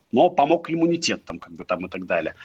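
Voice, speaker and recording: The speaker is a man. His pitch sits high for a man. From Chita, Russia. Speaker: company founder and CEO. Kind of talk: casual interview. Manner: profane, blunt.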